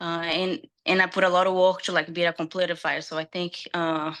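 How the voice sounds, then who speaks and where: Speaking fairly quickly against a quiet background, a woman with a bright, sharp tone and fairly low pitch keeps her intonation fairly even. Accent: strong Brazilian. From Brazil. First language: Portuguese. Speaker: UFC fighter. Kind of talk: interview. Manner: halting.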